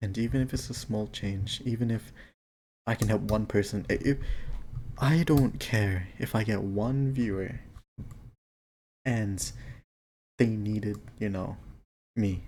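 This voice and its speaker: A man's dark, mellow tone, fairly low in pitch and somewhat breathy, with fairly even intonation, a fairly slow pace and long, frequent pauses. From Thailand, moved to Australia as a child. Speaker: vlogger. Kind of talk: casual monologue. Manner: halting, with fillers. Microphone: mic cutting out.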